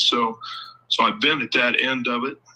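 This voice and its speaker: The speaker is a man with a Midwestern American accent. He talks at a moderate pace. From Ohio. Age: 60s. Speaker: local political candidate. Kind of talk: interview. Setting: live show.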